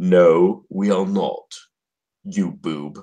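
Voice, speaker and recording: In a put-on character voice, a man speaks with an English accent at a very deep, low pitch. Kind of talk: very proper, refined.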